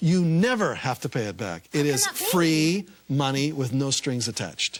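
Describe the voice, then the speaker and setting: Talking at a fairly slow pace with lively intonation, a man with a fairly high voice is heard over noticeable background noise. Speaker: author. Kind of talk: TV talk show interview answer.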